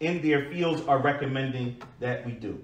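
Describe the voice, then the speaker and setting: With audible room echo around him, a man speaks with fairly even intonation. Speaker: preacher. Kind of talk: sermon. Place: church.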